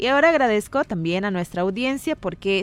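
Lively intonation carries a normal speaking voice delivered at a moderate pace. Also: woman. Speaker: radio host.

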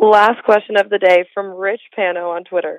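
A woman's unremarkable speaking voice at medium pitch, moderate pace and fairly even intonation. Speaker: intern. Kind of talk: reading listener questions.

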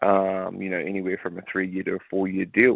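Speaking at a fairly quick pace, a man with a New Zealand accent has a fairly low pitch. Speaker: retired rugby league player. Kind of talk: interview. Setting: phone call. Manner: animated.

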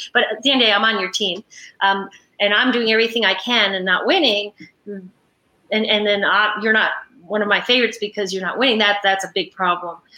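Speaking fairly quickly in an ordinary speaking voice, a woman keeps a medium pitch and fairly even intonation. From New York. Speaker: former tennis player and college coach. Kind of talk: interview.

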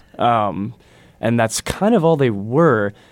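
A man at a medium pitch with an Upper Midwest accent and a fairly slow pace, in a very clean recording with a silent background. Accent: Upper Midwest American. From Wisconsin. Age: 20s. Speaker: university student, writer. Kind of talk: casual interview discussion. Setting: studio.

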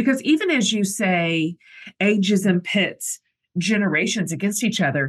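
A woman speaks at medium pitch with lively intonation and a somewhat breathy quality. Her pace is moderate and her loudness very even. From US. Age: 50s. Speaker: podcast host. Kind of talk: casual interview chat; scripted intro.

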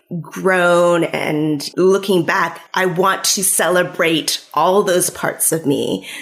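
A woman speaks over noticeable background noise. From California, US. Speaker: author. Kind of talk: interview.

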